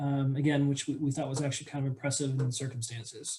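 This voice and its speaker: Somewhat breathy, a man talks at a very fast pace. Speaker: auditor presenting financial statements. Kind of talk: board meeting presentation.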